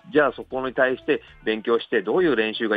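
Faint music plays in the background, and the sound is dry with no echo. Pitch variation is ordinary. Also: man. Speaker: football club head coach. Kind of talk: interview answer. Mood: thoughtful, reflective. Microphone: phone line.

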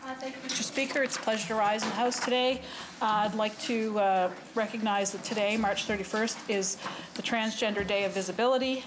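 A woman's fairly quick, fairly even speech over noticeable background noise. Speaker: government minister. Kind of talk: formal parliamentary statement. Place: hall. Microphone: podium.

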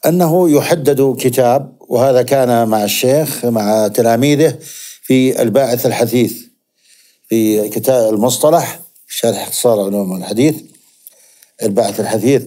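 Against a quiet background, a man speaks at a medium pitch in a dark, mellow tone, with ordinary pitch variation and very even loudness. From Zarqa, Jordan; Jordan. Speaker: hadith scholar; guest. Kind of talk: interview. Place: studio. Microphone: lapel.

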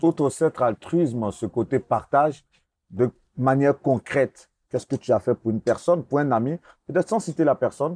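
The tone is dark and mellow. The pitch varies in an ordinary way. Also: man. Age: 40s. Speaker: interviewer. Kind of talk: interview.

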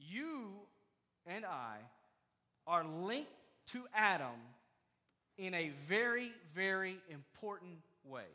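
Over a quiet background, a man with a high pitch and a raised, projected voice speaks at a very slow pace in a bright, sharp tone, his pitch swinging very widely between long, frequent pauses. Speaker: pastor. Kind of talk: sermon preached to a congregation. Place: church. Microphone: headset.

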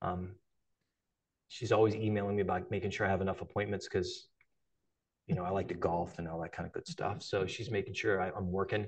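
With an American accent, a man speaks at a very fast pace in a fairly low pitch, sounding somewhat breathy, with fairly even intonation and long, frequent pauses. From northeast Ohio. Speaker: cancer surgeon. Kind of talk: lecture. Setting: lecture hall with live and online audience. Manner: halting, many fillers.

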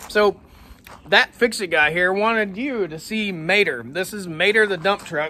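With an American accent, a man uses a raised, projected voice at a high pitch, with ordinary pitch variation. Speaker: farmer. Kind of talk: casual show-and-tell. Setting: outdoors.

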